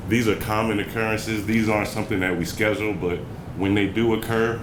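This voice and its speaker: With audible room echo and noticeable background noise, a man speaks at a fairly low pitch with monotone, flat intonation. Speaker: city public works staff presenter. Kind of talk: slide presentation at community workshop. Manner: fast.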